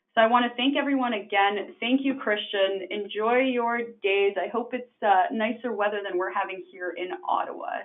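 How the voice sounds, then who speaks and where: A woman with a Canadian accent has an unremarkable speaking voice with a fairly high pitch. She talks at a moderate pace with ordinary pitch variation and hardly any pauses. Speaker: webinar host, housing association programs director. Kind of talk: webinar closing remarks. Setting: online webinar.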